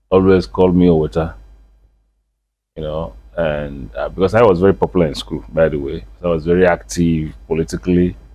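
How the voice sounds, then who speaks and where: In a Nigerian accent, a man speaks with a very deep, low voice and lively intonation. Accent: Nigerian English, Igbo. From Nigeria, Onitsha, Anambra State. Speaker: traditional chief and businessman. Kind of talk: interview. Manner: hesitant, with fillers.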